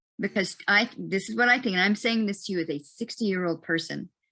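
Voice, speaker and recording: Her pace is very fast. The woman's pitch shifts in an ordinary way. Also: very clean recording, silent background. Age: 60s. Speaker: environmental panelist. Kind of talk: panel discussion. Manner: halting, many fillers and restarts.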